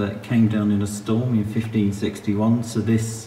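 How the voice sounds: A man talks at a moderate pace with little pitch movement. His fairly low voice has a dark, mellow tone.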